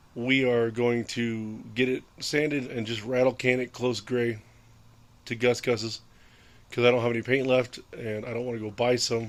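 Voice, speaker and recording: The voice keeps a moderate pace with monotone, flat intonation. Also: man, medium pitch for a man. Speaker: DIY car mechanic vlogger. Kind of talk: tutorial. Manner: casual, some stumbling.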